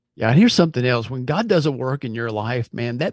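An unremarkable speaking voice from a man at medium pitch, with ordinary pitch variation, a dry, close sound with no echo and a quiet background. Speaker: podcast co-host. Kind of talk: casual podcast chat.

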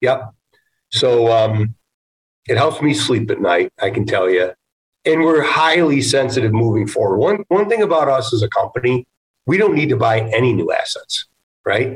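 Recorded with a dry, close sound and no echo, a man speaks at a moderate pace in a somewhat breathy voice with very wide pitch swings. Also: medium pitch for a man. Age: 50s. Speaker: real estate investment executive. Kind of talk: casual interview.

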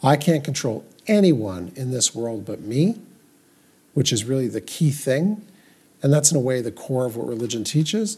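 Somewhat breathy speech from a man of medium pitch, at a fairly quick pace with lively intonation. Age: 60s. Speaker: podcast co-host, doctor. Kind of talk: casual chat about Judaism and life.

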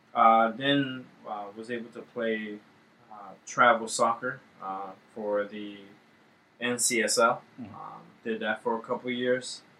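A man with an American accent at a very slow pace, flat and monotone, with long, frequent pauses and big swings in loudness. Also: medium pitch for a man. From Washington, D.C. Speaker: youth soccer coach, podcast co-host. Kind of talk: casual chat.

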